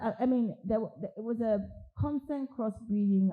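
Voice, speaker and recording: A woman's somewhat breathy voice. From Nigeria, Lagos. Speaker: architect. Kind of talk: interview at a public talk.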